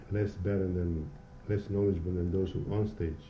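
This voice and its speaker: In a room with audible echo, a man with a non-native accent speaks at a fairly slow pace in a dark, mellow tone. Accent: foreign. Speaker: hairdresser and salon owner. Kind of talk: interview. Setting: in a hair salon. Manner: halting.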